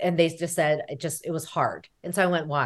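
A woman speaks fairly quickly in a normal speaking voice, her pitch fairly low. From United States. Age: 40s. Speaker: therapist. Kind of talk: interview.

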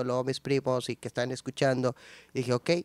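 A man speaks very fast at a medium pitch in a monotone, flat intonation. The sound is dry and close with no echo, in a very clean recording with a silent background. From northern Mexico, San Nicolás de los Garza, Monterrey. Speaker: musician and producer. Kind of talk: casual interview. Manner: casual slangy, halting with repetitions.

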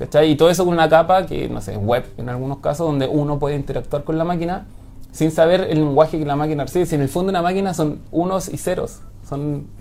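A man with a Chilean accent talks at a very fast pace. His pitch is fairly high, with ordinary pitch variation. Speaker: software engineer. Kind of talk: interview.

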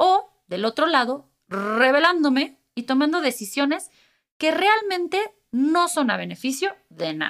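A very slow delivery with very wide pitch swings, in a Mexican accent. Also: woman, high pitch for a woman. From Mexico. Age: 30s. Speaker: podcast host. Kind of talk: solo podcast monologue.

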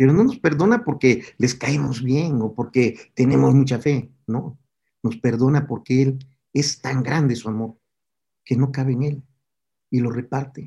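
Medium-pitched man's voice, somewhat breathy and dark and mellow in tone, with fairly even intonation at a fairly slow pace. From Mexico (Tabasco, raised in Puebla). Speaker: pastor, former singer. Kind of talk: sermon; testimony.

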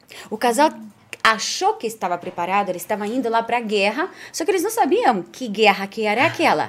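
With a non-native accent, a woman talks at a fairly quick pace, her pitch swinging very widely. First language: not Portuguese (speaking Portuguese). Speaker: podcast co-host. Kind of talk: casual chat.

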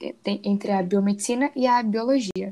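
Intonation stays fairly even. The woman's pitch is medium. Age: 20s. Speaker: biomedicine student. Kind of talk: student presentation, read script.

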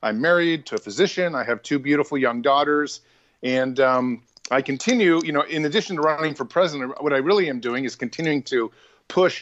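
Here a man uses an ordinary speaking voice with a fairly high pitch. He moves at a fairly quick pace with ordinary pitch variation. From US, from a Hungarian immigrant family. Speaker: presidential candidate and former journalist. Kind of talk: interview.

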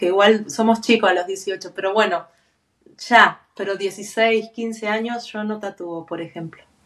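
A woman with an Argentine accent speaks at a fairly slow pace, her intonation fairly even. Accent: Argentine Spanish (voseo). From Argentina. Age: 40s. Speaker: tattoo artist. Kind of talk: interview conversation.

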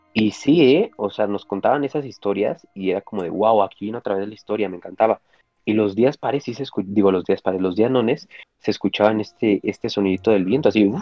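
Fairly quick in pace, a man uses a normal speaking voice with a fairly low pitch and ordinary pitch variation. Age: 20s. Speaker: optometry student and storyteller. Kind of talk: storytelling interview. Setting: live stream.

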